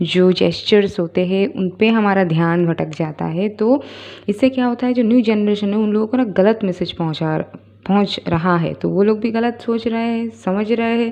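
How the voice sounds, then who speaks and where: The speaker has a non-native accent. Pitch variation is ordinary. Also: woman. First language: not Hindi (speaking Hindi). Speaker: spiritual YouTuber. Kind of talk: casual spoken monologue. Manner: hesitant, many fillers.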